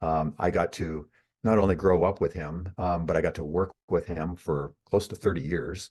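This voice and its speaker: At a moderate pace, a man with a very deep, low pitch speaks with fairly even intonation. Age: 60s. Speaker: author and marketer. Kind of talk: interview. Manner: halting.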